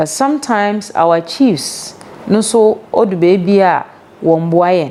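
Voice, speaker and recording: Against noticeable background noise, a woman at medium pitch speaks fairly slowly with lively intonation. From Ghana, Central Region. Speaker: local government official. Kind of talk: interview.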